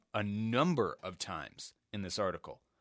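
A man talks at a fairly slow pace with lively intonation in a plain, everyday voice. The sound is dry and close with no echo, on a very clean recording with a silent background. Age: 20s. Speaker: sports podcast host. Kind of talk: solo monologue with religious message.

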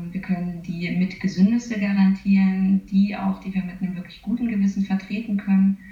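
Over noticeable background noise, a woman at medium pitch talks at a fairly quick pace with monotone, flat intonation and hardly any pauses. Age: 30s. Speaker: nutritionist working for a vegan catering company. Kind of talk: interview. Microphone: poor interview audio quality.

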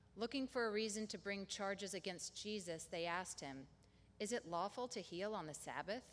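A woman with an unremarkable speaking voice, medium pitch, lively intonation and a moderate pace. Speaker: scripture reader. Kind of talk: reading aloud.

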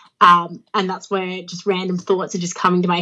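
A woman at medium pitch, talking at a fairly quick pace. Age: 30s. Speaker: professional wrestler. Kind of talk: casual interview. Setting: remote interview.

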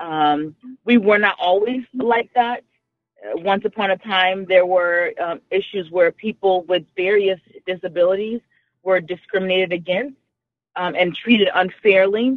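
In a Texan accent, a woman talks at a fairly slow pace with ordinary pitch variation. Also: medium pitch for a woman. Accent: Texan American. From Texas. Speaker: radio caller. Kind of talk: casual chat.

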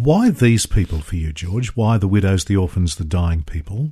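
A man's fairly low, somewhat breathy voice at a fairly slow pace. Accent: Australian. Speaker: radio host. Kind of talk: radio interview. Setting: studio.

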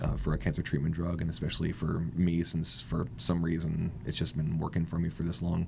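Over noticeable background noise, a man with a very deep, low pitch speaks at a fairly quick pace in a monotone, flat delivery with very even loudness and hardly any pauses. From US, Washington state (Kent). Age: 40s. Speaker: artist, cancer survivor. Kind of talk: interview. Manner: halting, many fillers.

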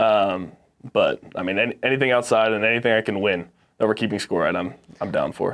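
Speaking with an American accent, a man uses an ordinary speaking voice at medium pitch, moving at a fairly quick pace with fairly even intonation. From Texas and Arizona. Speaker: college football player. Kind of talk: casual interview.

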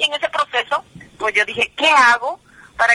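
Speaking at a moderate pace, a woman uses a high pitch and ordinary pitch variation, with a dry, close sound with no echo. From New Jersey, US (Guatemalan parents). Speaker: singer. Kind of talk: radio interview.

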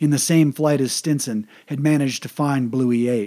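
With an ordinary speaking voice, a man talks at a moderate pace and medium pitch, his intonation fairly even, on a very clean recording with a silent background. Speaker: military history podcaster. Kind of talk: history documentary narration. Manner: measured, steady, formal; even and informative, little emotion.

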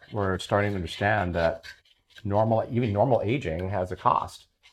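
An unremarkable speaking voice from a man with an American accent, fairly low pitch, fairly even intonation and a fairly slow pace. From Southern California (La Jolla). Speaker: neuroscientist and professor. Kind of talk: casual chat while cooking. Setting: home kitchen.

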